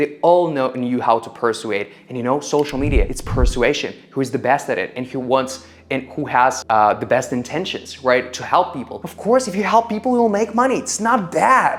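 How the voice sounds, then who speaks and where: Against noticeable background noise, a man with a non-native accent and a fairly high pitch talks at a moderate pace with very wide pitch swings. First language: not English. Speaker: content creator. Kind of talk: motivational talk to camera.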